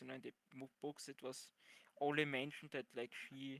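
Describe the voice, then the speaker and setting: A man with a non-native accent and a fairly high pitch talks at a moderate pace in a monotone, flat intonation, with a dry, close sound and no echo. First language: not English. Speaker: podcast panelist. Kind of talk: casual chat. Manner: halting.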